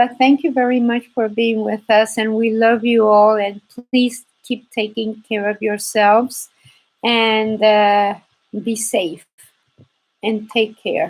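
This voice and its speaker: This woman has a Spanish accent and a fairly high pitch. She speaks at a very slow pace with monotone, flat intonation. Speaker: embroidery teacher. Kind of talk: live stream chat.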